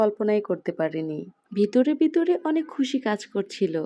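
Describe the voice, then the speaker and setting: Fairly high pitch in a woman's voice. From Bangladesh, Kishoreganj. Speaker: lifestyle vlogger. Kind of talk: vlog voiceover narration.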